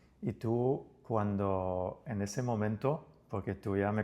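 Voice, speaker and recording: Over a quiet background, a man with an unremarkable speaking voice talks at a fairly low pitch with fairly even intonation. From outside Spain. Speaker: podcast host. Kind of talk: interview.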